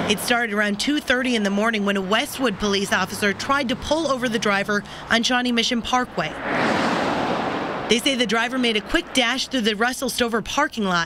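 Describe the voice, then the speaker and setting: A woman's fairly high voice at a moderate pace with ordinary pitch variation, over noticeable background noise. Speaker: television news reporter. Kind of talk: TV news reporter delivery.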